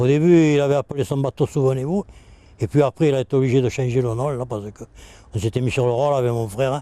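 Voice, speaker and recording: A man with a dark, mellow tone and medium pitch talks fairly quickly, his pitch varying in an ordinary way, in a dry, close recording with no echo. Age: 70s. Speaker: retired fisherman. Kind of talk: interview, personal reminiscence. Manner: hesitant, with fillers.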